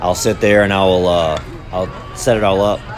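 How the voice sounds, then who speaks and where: Fairly even intonation under noticeable background noise and audible room echo. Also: man. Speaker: youth softball parent and video creator. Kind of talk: casual commentary over game footage. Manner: unscripted, hesitant with fillers.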